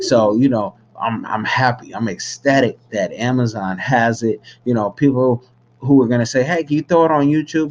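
A man speaks at a moderate pace in a plain, everyday voice, with medium pitch and ordinary pitch variation. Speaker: filmmaker. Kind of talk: casual vlog-style announcement.

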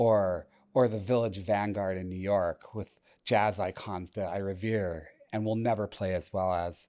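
With an American accent, a man of fairly low pitch and a dark, mellow tone speaks in a monotone, flat intonation at a fairly slow pace on a very clean recording with a silent background. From Massachusetts, near Boston (Chelmsford). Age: 60s. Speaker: marketing entrepreneur. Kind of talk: interview.

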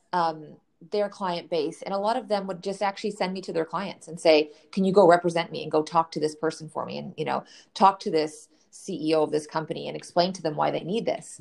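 With a Canadian accent, the speaker talks at a fairly quick pace in a confident tone with vocal fry. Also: woman, fairly low pitch for a woman, fairly even intonation, big swings in loudness. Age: 30s. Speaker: financial educator and coach. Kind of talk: interview conversation. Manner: clear and confident.

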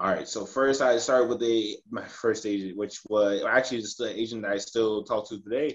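A man with an American accent and a normal speaking voice, medium pitch, fairly even intonation, a fairly quick pace and hardly any pauses. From United States. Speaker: professional football goalkeeper. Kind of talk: interview.

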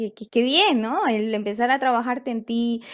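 With fairly even intonation, a woman talks in a very clean recording with a silent background. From Ecuador. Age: 20s. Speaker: life coach. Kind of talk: interview conversation. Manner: halting, with frequent repetitions.

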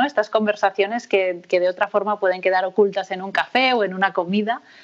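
Against a quiet background, a woman talks at a medium pitch. Her intonation stays fairly even. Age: 30s. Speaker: sociologist and researcher. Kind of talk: interview conversation. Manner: hesitant, with many fillers and repetitions.

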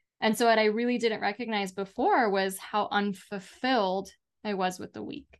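Against a quiet background, a woman speaks in an unremarkable speaking voice. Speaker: alcohol-free life coach and author. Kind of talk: interview conversation.

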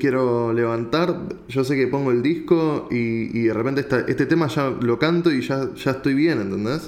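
A man at a fairly slow pace, ordinary pitch variation, and audible room echo. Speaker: podcast host. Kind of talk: interview.

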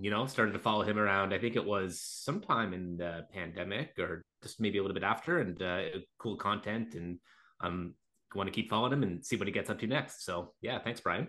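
An ordinary speaking voice, from a man at a fairly low pitch. He talks at a fairly quick pace with ordinary pitch variation. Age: 30s. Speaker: natural bodybuilder and podcast co-host. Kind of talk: casual chat.

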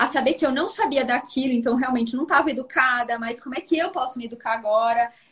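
Her voice is high in pitch, and this woman uses ordinary pitch variation. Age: 40s. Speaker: live stream host. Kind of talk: casual interview on live stream. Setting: Instagram live.

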